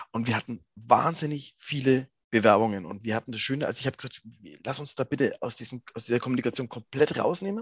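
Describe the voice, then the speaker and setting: Here a man speaks at a very fast pace. His pitch is medium, with ordinary variation. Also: dry, close sound with no echo. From Lower Franconia, Germany. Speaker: rock singer. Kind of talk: interview.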